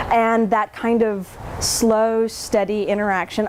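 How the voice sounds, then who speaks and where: Over noticeable background noise, a woman speaks at a fairly slow pace with a fairly high pitch. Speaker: children's book author and illustrator. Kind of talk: talk to a gallery audience. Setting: gallery event with audience.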